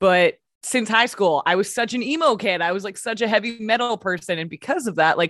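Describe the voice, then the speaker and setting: Fairly quick and with ordinary pitch variation, a woman speaks in an unremarkable speaking voice. The sound is dry and close, with no echo. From Canada, Vancouver. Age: 30s. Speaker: radio host. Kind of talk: casual chat.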